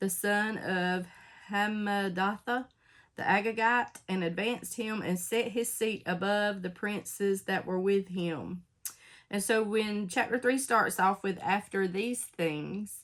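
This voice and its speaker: On a very clean recording with a silent background, a woman talks at a very slow pace in a medium pitch with fairly even intonation. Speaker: Bible study teacher. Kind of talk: casual Bible study talk with scripture reading.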